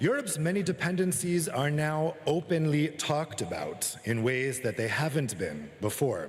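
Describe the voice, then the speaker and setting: Speaking at a fairly slow pace with an American accent, a man lets his pitch swing very widely, and audible room echo surrounds him. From United States. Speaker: journalist and author giving a talk. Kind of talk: conference keynote speech. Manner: formal.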